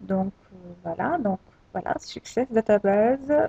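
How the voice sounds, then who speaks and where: The woman speaks at a very slow pace and medium pitch with ordinary variation, in a dry, close sound with no echo. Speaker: tech tutorial creator. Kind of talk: screen-recorded software tutorial. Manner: hesitant, many filler sounds.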